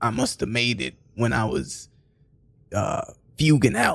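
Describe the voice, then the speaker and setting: The man talks at a moderate speed. He speaks with an American accent. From New York, Haitian neighborhood. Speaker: improv comedian. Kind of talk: casual interview chat. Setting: radio studio with headphones.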